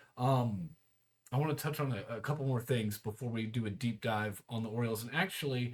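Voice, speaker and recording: At a fairly quick pace, a man speaks in a somewhat breathy voice at medium pitch with ordinary pitch variation. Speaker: sports podcast host. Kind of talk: casual podcast monologue. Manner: fast.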